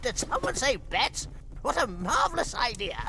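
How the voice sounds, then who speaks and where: A man performs a cartoonish character voice. Loud background noise fills the recording. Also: moderate pace. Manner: giggly.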